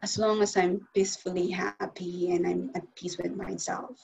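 With vocal fry, a woman speaks at a medium pitch and a moderate pace. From Philippines. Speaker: life coach and motivational speaker. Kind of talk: interview. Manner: halting.

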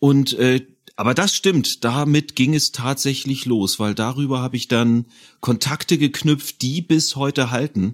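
This man has an ordinary speaking voice, fairly high in pitch, with lively intonation. He goes at a fairly slow pace, and the sound is dry and close with no echo. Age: 40s. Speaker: audio drama producer and composer. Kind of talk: casual chat.

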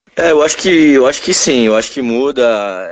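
A man's voice, an ordinary speaking voice, with a dry, close sound, no echo, and a quiet background. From São Paulo, Brazil. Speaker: basketball coach. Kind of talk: interview. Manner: casual.

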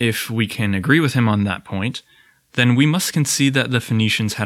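A man speaks at a moderate pace. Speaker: podcast host. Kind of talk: scripted narration. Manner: calm, even, formal.

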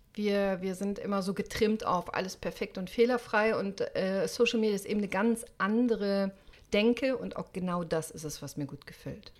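This woman has a medium pitch and an unremarkable speaking voice. She talks at a moderate pace. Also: ordinary pitch variation. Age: 50s. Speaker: orthopedic doctor and podcaster. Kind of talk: interview. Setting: remote recording.

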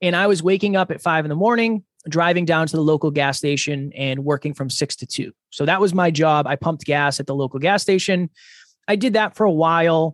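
Here a man with an American accent talks at a fairly quick pace and fairly high pitch, with ordinary pitch variation; an ordinary speaking voice. The sound is dry and close with no echo over a quiet background. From Massachusetts, US. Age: 30s. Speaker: podcaster and speaker. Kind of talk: interview.

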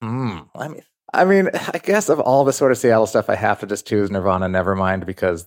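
A man with an American accent and a normal speaking voice, fairly low in pitch and fairly quick, in a very clean recording with a silent background and a dry, close sound with no echo. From US, New York and Salt Lake City. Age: 50s. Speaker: record label executive and author. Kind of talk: casual interview.

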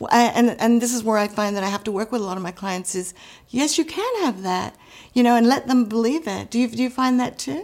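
Against noticeable background noise, a woman speaks very fast with a fairly high pitch. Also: ordinary pitch variation. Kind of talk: casual interview chat.

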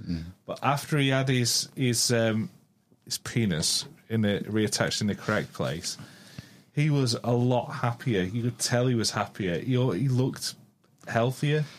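At a medium pitch, a man talks in a normal speaking voice. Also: ordinary pitch variation, fairly slow pace. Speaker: co-host. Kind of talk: casual chat.

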